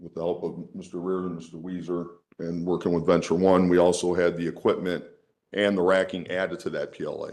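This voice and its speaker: A man with a very deep, low pitch and an American accent, at a very fast pace, with audible room echo. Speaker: union leader speaking at public hearing. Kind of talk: public comment at council hearing. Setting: council chamber.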